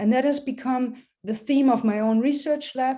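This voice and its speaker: In a German accent, a somewhat breathy woman with a dark, mellow tone speaks at a moderate pace with fairly even intonation against a quiet background. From Germany. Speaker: professor. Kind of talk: public science talk. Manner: many fillers (um, uh).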